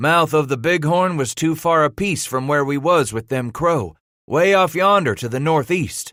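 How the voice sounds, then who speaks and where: A man's drawling, put-on character voice, fairly high in pitch at a moderate pace, on a very clean recording with a silent background. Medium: read story. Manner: drawling frontier dialect.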